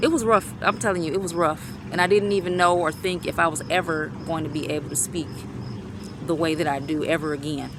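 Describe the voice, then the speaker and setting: At a fairly quick pace, a woman with a fairly low pitch speaks in fairly even intonation over noticeable background noise. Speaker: vlogger. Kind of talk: personal vlog testimony. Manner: fast.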